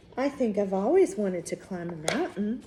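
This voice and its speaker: Clear background noise sits under a put-on character voice that keeps a moderate pace. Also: woman, medium pitch for a woman. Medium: read story. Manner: wondering, earnest.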